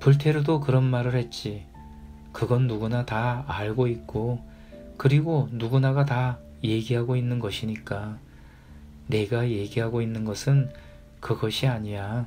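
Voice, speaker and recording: Music plays in the background as a man speaks at a fairly slow pace. He leaves long, frequent pauses, with ordinary pitch variation. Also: medium pitch for a man. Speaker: audiobook reader. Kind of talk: audiobook reading of a classic short story. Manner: calm, soft-spoken, ASMR-style reading.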